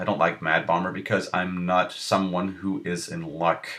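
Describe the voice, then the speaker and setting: Here a man speaks with a non-native accent in a very deep, low voice. The tone is bright and sharp, the pace moderate, and the pitch varies in an ordinary way. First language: not English. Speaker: gaming video creator. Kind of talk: gameplay commentary. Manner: casual, thinking aloud.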